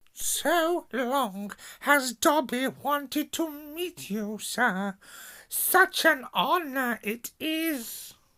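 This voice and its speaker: A put-on character voice pitched high. The pace is very slow. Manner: eager, reverent, excited.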